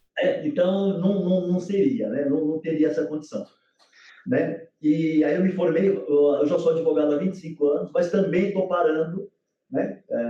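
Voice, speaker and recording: Speaking at a moderate pace, a man has a high pitch with ordinary pitch variation. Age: 60s. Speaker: former footballer turned lawyer. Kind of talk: casual chat.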